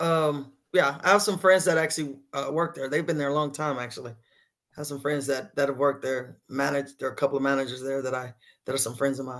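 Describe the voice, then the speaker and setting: In a Texan accent, the speaker goes at a very fast pace with fairly even intonation against a quiet background. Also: woman, very deep, low pitch for a woman. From West Texas, Sweetwater. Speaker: singer-songwriter and band leader. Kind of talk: interview.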